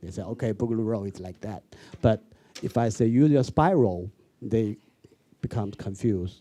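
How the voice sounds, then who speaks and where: A man in a Chinese accent, fairly low in pitch, dark and mellow in tone, with big swings in loudness and long, frequent pauses. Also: ordinary pitch variation, moderate pace. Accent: Mandarin Chinese accent in English. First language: Mandarin Chinese. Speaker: street dance choreographer. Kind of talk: panel discussion. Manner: halting in English.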